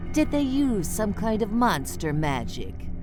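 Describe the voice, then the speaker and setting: Loud music plays in the background as a put-on character voice talks at a fairly slow pace. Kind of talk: spooky party-game hosting. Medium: solo performance. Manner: playful, theatrical.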